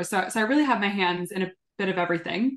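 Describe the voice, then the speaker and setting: Against a quiet background, a woman talks at a very fast pace with a medium pitch and ordinary pitch variation. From Southern California. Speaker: sustainability executive. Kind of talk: interview.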